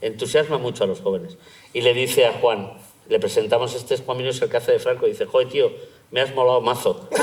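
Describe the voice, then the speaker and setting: This man has a Madrid accent. He talks very fast. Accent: Madrid Spanish, noticeable. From Madrid, Spain. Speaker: playwright and theatre director. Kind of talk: panel talk. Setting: auditorium with audience. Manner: animated.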